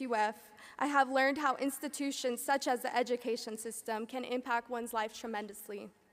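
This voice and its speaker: In a Californian accent, a woman talks at a very fast pace and a high pitch. Her intonation stays fairly even. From California suburbs. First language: Spanish. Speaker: graduating student speaker. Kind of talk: commencement speech.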